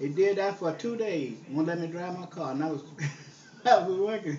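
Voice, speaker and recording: A man with a strong Southern US accent at a high pitch and moderate pace, with ordinary pitch variation, over noticeable background noise. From Southern US (Texas). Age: 70s. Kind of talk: casual reminiscing on a phone call.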